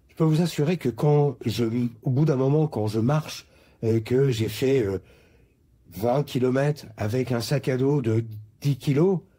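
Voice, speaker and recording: The voice is somewhat breathy and dark, mellow in tone, with very even loudness and ordinary pitch variation. It moves at a fairly slow pace with long, frequent pauses. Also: man, medium pitch for a man. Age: 60s. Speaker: retiree sharing his story. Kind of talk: testimony.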